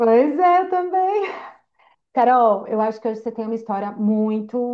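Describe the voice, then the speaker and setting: With a São Paulo accent, a woman at a fairly high pitch talks at a moderate pace, her pitch swinging very widely. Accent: São Paulo accent, noticeable. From São Paulo state, Brazil. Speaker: podcast host. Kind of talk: casual chat.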